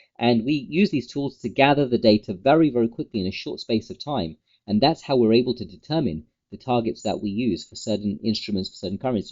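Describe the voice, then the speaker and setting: With a British accent, a man of medium pitch talks at a fairly quick pace with lively intonation. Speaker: trading educator, company founder. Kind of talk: market update tutorial. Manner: fast.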